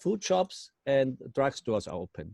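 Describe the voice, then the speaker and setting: With a dry, close sound with no echo, a man speaks at a fairly slow pace in a dark, mellow tone, fairly high in pitch and with very wide pitch swings. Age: 60s. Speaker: company manager. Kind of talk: testimony. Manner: halting.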